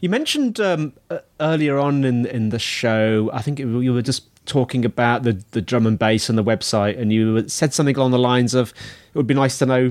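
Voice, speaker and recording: A man with a British accent talks at a fairly quick pace. His pitch is medium, with ordinary variation. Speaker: podcast host. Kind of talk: interview.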